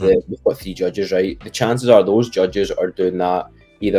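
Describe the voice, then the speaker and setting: A man speaks with a Scottish accent in a fairly low pitch. His intonation is fairly even, with music in the background. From Scotland. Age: young. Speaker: professional MMA fighter. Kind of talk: interview answer.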